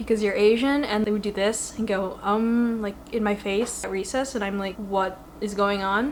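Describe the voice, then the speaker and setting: Over noticeable background noise, a woman at medium pitch talks with an American accent. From Western Massachusetts, US. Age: 20s. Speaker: YouTuber. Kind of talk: casual chat. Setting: living room home setup. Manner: animated.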